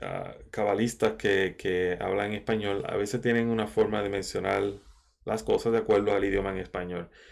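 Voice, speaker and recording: Speech comes at a moderate pace in a monotone, with flat intonation. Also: man, fairly low pitch for a man, very clean recording, silent background. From Caribbean. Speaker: Kabbalah teacher. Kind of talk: lecture. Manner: halting, many fillers.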